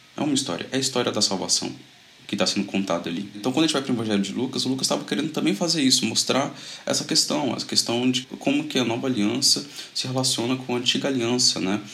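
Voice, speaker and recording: Noticeable background noise sits behind a man talking at a very fast pace in a medium pitch. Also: ordinary pitch variation. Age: 20s. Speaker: Bible study leader, medical student. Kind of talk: casual Bible study discussion. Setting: video call.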